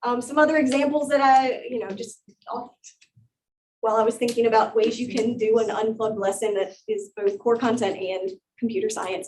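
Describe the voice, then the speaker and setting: A woman's fairly high voice at a fairly quick pace, with ordinary pitch variation. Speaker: teacher presenting at an education conference. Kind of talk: conference presentation workshop. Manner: fast.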